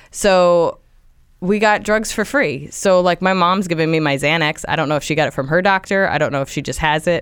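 With a plain, everyday voice, a woman with an American accent speaks at a fairly quick pace in a fairly low pitch with ordinary pitch variation, on a very clean recording with a silent background. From US Northeast, Central New Jersey. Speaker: comedian. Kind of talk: casual chat.

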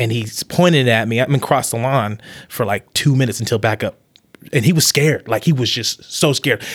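Speaking at a fairly quick pace in an American accent, a man has a plain, everyday voice with medium pitch and ordinary pitch variation. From Las Vegas, then Utah and Mesa, Arizona. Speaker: musician. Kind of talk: casual conversation.

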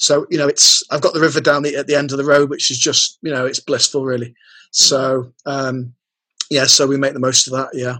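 Here a man speaks with a fairly high pitch. His intonation is monotone and flat. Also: fairly quick pace. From Lancashire, England. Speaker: copywriter. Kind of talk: casual interview chat.

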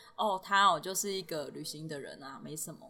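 In a Taiwanese accent, a woman speaks at a moderate pace with a medium pitch, ordinary pitch variation and a bright, sharp tone. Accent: Taiwanese Mandarin. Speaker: backpacker and portrait illustrator. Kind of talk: casual interview. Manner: laughs often.

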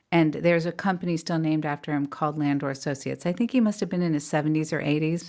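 Very deep and low, a woman's voice with an American accent moves at a very fast pace with fairly even intonation in a very clean recording with a silent background. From California. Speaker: artist and author. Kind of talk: casual interview.

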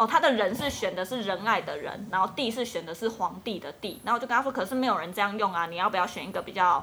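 Speaking at a very fast pace, a woman with a bright, sharp tone keeps a medium pitch and ordinary pitch variation. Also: hardly any pauses. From Taiwan, Kaohsiung. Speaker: Taiwanese wife of a Dutch man. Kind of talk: casual chat.

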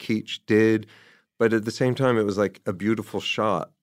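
Here is a man with a normal speaking voice and an American accent, pitched medium. He keeps a moderate pace and fairly even intonation. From New Jersey, near New York City. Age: 50s. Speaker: novelist and screenwriter. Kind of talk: casual interview. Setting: remote call.

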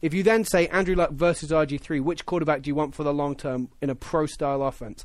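This man's voice is fairly high in pitch, with ordinary pitch variation. He speaks at a fairly quick pace. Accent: English. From England. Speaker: football pundit. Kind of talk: casual sports chat. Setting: studio.

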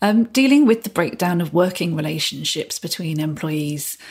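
A somewhat breathy woman's voice of medium pitch, lively in intonation, at a moderate pace. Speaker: employment lawyer. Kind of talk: professional podcast discussion.

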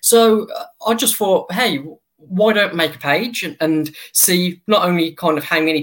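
With an English accent, a man speaks at a high pitch and a moderate pace. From England. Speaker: baseball fan account runner. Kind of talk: interview. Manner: halting.

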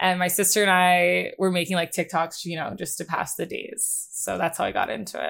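A woman with an American accent speaks with hardly any pauses, in a very clean recording with a silent background. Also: fairly quick pace. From US Northeast, Bucks County, Pennsylvania. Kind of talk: casual interview chat.

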